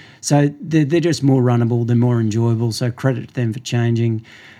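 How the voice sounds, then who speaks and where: A man's medium-pitched, dark, mellow voice with an Australian accent. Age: 50s. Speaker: running store owner. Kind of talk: interview. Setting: running store.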